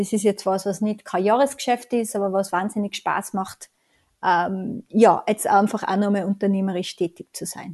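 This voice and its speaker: A woman speaks at a moderate pace with a medium pitch and fairly even intonation, in a plain, everyday voice. The sound is dry and close with no echo, over a quiet background. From Tyrol, Austria. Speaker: consultant and author. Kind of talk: interview conversation.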